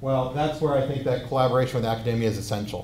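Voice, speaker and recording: A man talks in a room with audible echo. Light background noise runs underneath. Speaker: robotics researcher; presenter. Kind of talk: lecture. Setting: stage with audience. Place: hall.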